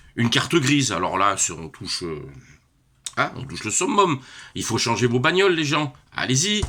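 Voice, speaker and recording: Bright and sharp in tone with vocal fry, a man at medium pitch talks at a moderate pace, his pitch swinging very widely, his loudness swinging a lot, and his speech broken by long, frequent pauses. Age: 60s. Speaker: retiree. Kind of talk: casual vlog rant. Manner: hesitant, many fillers.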